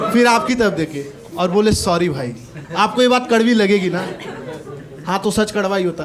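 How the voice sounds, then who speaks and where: Intonation is lively, broken by long, frequent pauses. Noticeable background noise runs underneath. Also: man, high pitch for a man. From Gorakhpur, Uttar Pradesh, India. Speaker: stand-up comedian. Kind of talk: live stand-up comedy set.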